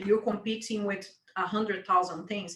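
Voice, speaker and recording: The woman's voice is medium in pitch. She talks with a non-native accent. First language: not English. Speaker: webinar co-host. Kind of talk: panel discussion.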